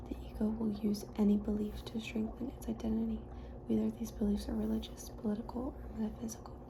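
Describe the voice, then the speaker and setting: Soft-spoken and calm in tone, the voice moves at a fairly quick pace against noticeable background noise. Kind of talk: soft-spoken ASMR audiobook reading. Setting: lofi ASMR recording. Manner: soft-spoken, calm.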